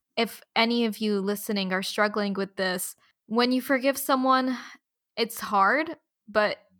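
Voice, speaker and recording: A woman speaks at a fairly slow pace in a bright, sharp tone, on a very clean recording with a silent background. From Abu Dhabi, UAE. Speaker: podcast host. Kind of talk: casual chat; scripted outro.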